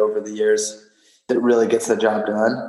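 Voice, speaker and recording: There is audible echo from the room. The speaking pace is moderate. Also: man. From West Texas (Odessa). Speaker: strength and conditioning coach, CrossFit athlete. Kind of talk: interview.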